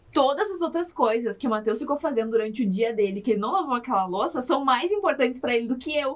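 A woman's high voice at a very fast pace, with lively intonation and hardly any pauses. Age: 20s. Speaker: podcast guest, wife of the host. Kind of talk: casual chat.

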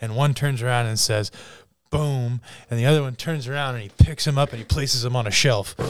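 A man speaks at a fairly quick pace with a medium pitch, recorded very cleanly against a silent background. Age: 30s. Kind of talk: casual chat. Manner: animated.

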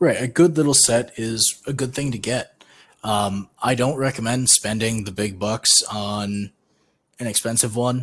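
A man's plain, everyday voice, at a fairly slow pace with ordinary pitch variation. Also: medium pitch for a man. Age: 20s. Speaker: podcast co-host. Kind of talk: casual chat.

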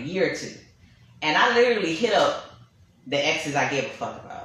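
Amid audible room echo and noticeable background noise, a woman at medium pitch talks at a very fast pace with very wide pitch swings. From Brooklyn, New York. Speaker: podcast host. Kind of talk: casual chat. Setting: studio.

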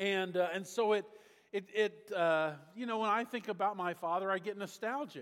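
His pitch moves in a normal way. The speaker is a man. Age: 60s. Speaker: pastor. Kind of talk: sermon. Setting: church.

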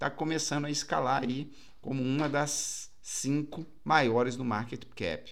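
A man's voice carries audible room echo. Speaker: crypto market commentator. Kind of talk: market update video with chart walkthrough. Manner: casual, conversational.

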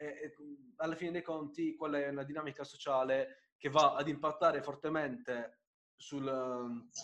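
A man with a fairly high pitch talks at a fairly slow pace, keeping his intonation fairly even. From Apulia, southern Italy (Bari). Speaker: podcast host. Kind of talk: casual interview chat.

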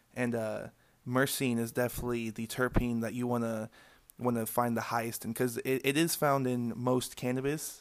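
A man speaks at a moderate pace with medium pitch and monotone, flat intonation. The recording is very clean, with a silent background. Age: 20s. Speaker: cannabis grower. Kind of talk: casual interview. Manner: halting, many fillers.

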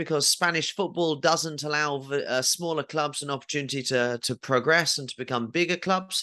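This man's bright, sharp voice moves at a moderate pace with ordinary pitch variation over a quiet background. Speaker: podcast host. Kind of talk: casual chat about football, educational.

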